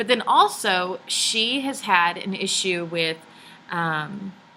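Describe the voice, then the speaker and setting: Her bright, sharp tone and Texan accent stand out as this woman speaks at a medium pitch. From Texas. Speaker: book reviewer. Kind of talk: casual video review. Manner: hesitant, many fillers.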